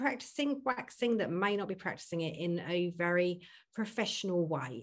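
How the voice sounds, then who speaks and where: A woman at a moderate pace, in a normal speaking voice, against a quiet background. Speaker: podcast host.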